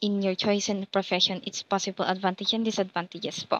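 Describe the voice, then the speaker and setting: A woman at a fairly quick pace, with a dry, close sound, no echo and a quiet background. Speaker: education student. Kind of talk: class assignment reaction. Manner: soft-spoken; halting.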